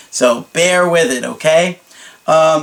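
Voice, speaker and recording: There is noticeable background noise behind the speaker. He is a man with a high-pitched voice. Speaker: dating coach. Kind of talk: advice monologue.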